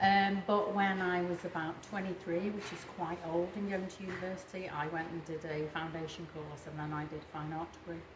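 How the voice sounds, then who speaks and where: A woman at medium pitch, talking at a fairly quick pace, with audible room echo and noticeable background noise. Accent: Merseyside. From northern England, the Wirral. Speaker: artist. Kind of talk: interview. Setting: art studio.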